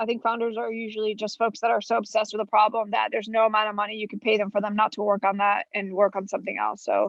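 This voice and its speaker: A woman's fairly high voice at a very fast pace over music in the background. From Florida (Orlando), US; born in Colombia. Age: 20s. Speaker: venture capitalist. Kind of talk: podcast interview.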